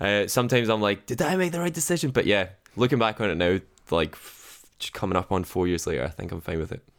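This man talks at a very fast pace in a Scottish accent, his pitch fairly low. His pitch swings very widely, on a very clean recording with a silent background. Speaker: radio producer. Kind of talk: interview. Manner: casual, self-deprecating.

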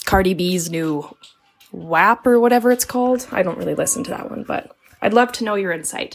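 Music plays behind a woman speaking at a moderate pace. Her medium-pitched voice has lively intonation. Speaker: caller, aunt of two nieces. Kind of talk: voicemail question. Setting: voice memo.

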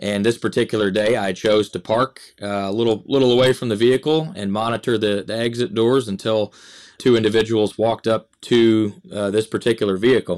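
In an American accent, an ordinary speaking voice moves at a fairly quick pace with fairly even intonation. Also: man, medium pitch for a man, very clean recording, silent background. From Michigan. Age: 30s. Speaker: police officer and school resource officer. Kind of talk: casual podcast interview.

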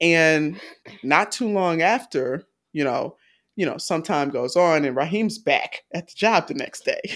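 The delivery comes at a fairly slow pace in a very clean recording with a silent background. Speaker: film review podcast co-host. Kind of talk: casual chat. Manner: enunciates carefully; laughs often.

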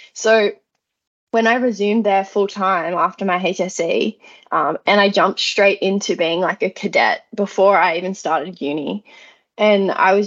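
In an Australian accent, a woman speaks at a moderate pace with a medium pitch and ordinary pitch variation. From Australia, regional New South Wales (Lithgow). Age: 20s. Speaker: civil engineer and university student. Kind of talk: casual interview chat.

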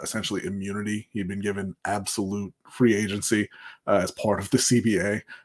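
Fairly quick speech from a man, fairly low in pitch, an unremarkable speaking voice. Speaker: co-host. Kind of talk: casual live-stream sports chat. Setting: live stream with chat.

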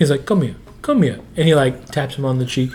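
Noticeable background noise fills the recording. Over it, a man talks in an American accent. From northeastern Montana. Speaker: podcast co-host and teacher. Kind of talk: casual chat.

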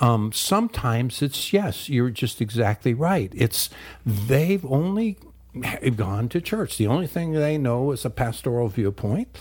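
Here a man speaks at a medium pitch, somewhat breathy. His pace is fairly slow, and his pitch swings very widely. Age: 70s. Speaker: pastor and ministry leader. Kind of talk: radio interview. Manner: hesitant, many filler words.

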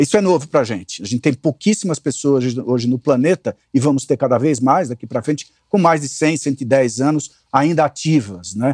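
Lively in intonation, a man speaks in a normal speaking voice at a fairly high pitch and a moderate pace, with hardly any pauses. The sound is dry and close with no echo, over a quiet background. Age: 60s. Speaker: communications consultant and investor. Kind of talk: interview conversation.

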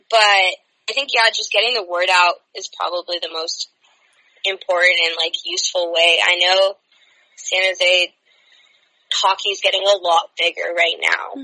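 A woman with an American accent speaks in an unremarkable speaking voice at medium pitch, with fairly even intonation at a fairly slow pace, the sound dry and close with no echo. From California, San Francisco Bay Area. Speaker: former hockey player and student. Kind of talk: casual chat.

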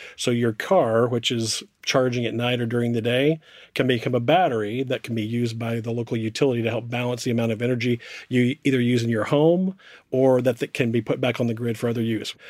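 A man with an American accent, medium in pitch, very fast, with fairly even intonation, in a very clean recording with a silent background. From United States. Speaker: corporate affairs director. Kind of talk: panel discussion.

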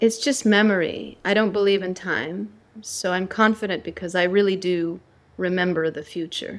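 A woman's plain, everyday voice with an American accent, medium pitch, ordinary pitch variation and a moderate pace. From United States. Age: 40s. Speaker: spiritual teacher and author. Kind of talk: interview; guided meditation.

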